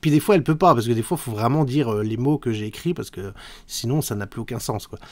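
Against a quiet background, a man rattles along at a very fast pace. His intonation is lively. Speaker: YouTuber; youtuber commenting his old video. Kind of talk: video commentary. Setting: home recording, live-style setup. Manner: hesitant, many filler sounds. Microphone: studio mic.

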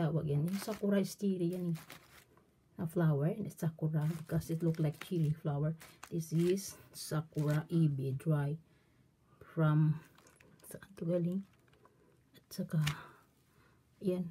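A woman speaks slowly with long, frequent pauses, her fairly low voice somewhat breathy with a dark, mellow tone. Her intonation is fairly even, her loudness swings widely, and light background noise sits underneath. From Philippines. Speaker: vlogger. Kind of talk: product show-and-tell vlog. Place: home room. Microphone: phone near.

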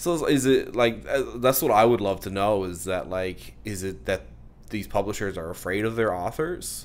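This man's voice has vocal fry and lively intonation. He goes at a moderate pace. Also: fairly low pitch for a man. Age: 30s. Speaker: author. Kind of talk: casual interview.

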